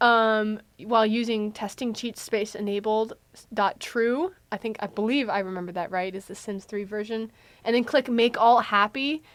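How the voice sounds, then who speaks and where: A woman speaks at a fairly high pitch with fairly even intonation. Her loudness swings widely. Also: very clean recording, silent background. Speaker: college radio co-host. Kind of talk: casual chat. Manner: fast.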